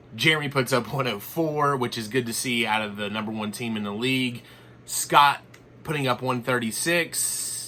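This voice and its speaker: Using a put-on character voice, a man speaks raspily at medium pitch and a fairly quick pace, with fairly even intonation and light background noise. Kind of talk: sports recap parody. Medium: voice reel. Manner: deadpan, teasing.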